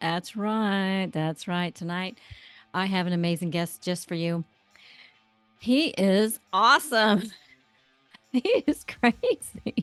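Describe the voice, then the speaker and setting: With music in the background, a woman of medium pitch speaks at a very slow pace, leaving long, frequent pauses. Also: ordinary pitch variation, dry, close sound with no echo. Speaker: podcast host. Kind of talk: casual interview talk.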